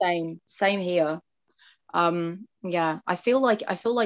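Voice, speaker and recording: In an English accent, a woman speaks at a medium pitch with ordinary pitch variation. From England. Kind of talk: casual chat. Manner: animated.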